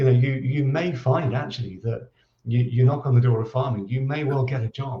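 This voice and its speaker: Somewhat breathy, a man talks in a dark, mellow tone with ordinary pitch variation. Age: 60s. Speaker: agricultural college director. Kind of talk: interview. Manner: halting, many repetitions.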